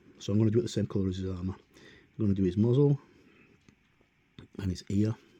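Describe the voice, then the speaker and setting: Very fast speech from a man, fairly low in pitch, dark and mellow in tone, with fairly even intonation. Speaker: miniature painter. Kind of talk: painting tutorial talk. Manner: hesitant, many fillers.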